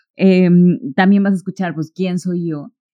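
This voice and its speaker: Dry, close sound with no echo carries the voice. Its tone is dark and mellow. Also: woman. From Mexico, Córdoba, Veracruz. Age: 20s. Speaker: podcast host. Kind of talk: solo podcast monologue. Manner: hesitant, many fillers.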